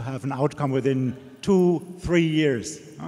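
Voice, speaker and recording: This man speaks with a German accent at a fairly slow pace. His voice sits fairly high. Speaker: audience member, Alzheimer's researcher. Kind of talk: audience question.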